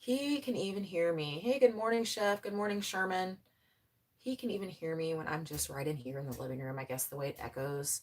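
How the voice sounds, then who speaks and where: A woman speaks loudly at a fairly quick pace. Her fairly low pitch makes very wide swings. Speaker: farm vlogger, mother. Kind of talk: casual live-stream chat. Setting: home laundry room pantry, live stream.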